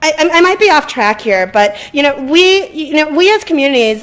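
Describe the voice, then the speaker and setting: Very wide pitch swings from a woman. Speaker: community member. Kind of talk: community forum discussion. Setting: public event at a library. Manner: loud; halting.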